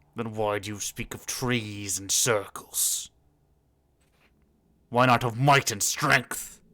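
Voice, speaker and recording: A man does a put-on character voice, raspy and medium in pitch. He talks at a very slow pace with long, frequent pauses. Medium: actual play. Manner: gruff, scornful, commanding.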